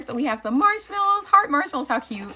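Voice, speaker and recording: A woman talks very fast in a raised, projected voice. Her tone is animated, with very wide pitch swings. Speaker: crafting YouTuber. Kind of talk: casual unboxing chat. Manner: halting with fillers.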